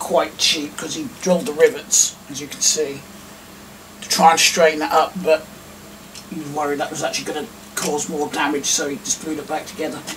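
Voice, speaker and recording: Over light background noise, a man with an English accent speaks at a fairly quick pace and fairly high pitch, with big swings in loudness. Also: ordinary pitch variation. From England. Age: 30s. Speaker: YouTuber. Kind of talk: casual vlog talk. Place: home room. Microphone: camera far.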